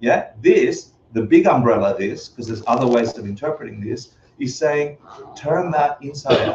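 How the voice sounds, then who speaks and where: A man speaks at a moderate pace with a non-native accent. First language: not English. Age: 50s. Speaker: Buddhist teacher. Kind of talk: lecture. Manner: animated.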